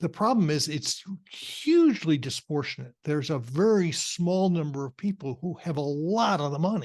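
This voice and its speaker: Lively in intonation, a man with a fairly high pitch speaks at a moderate pace. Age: 60s. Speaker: career consultant and podcast host. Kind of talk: interview conversation. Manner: halting, many fillers and restarts.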